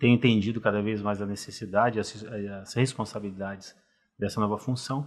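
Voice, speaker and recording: Monotone and flat, a man talks at a fairly quick pace and fairly low pitch. His loudness shows big swings. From Brazil, Rio de Janeiro. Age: 50s. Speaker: cardiologist. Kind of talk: podcast interview.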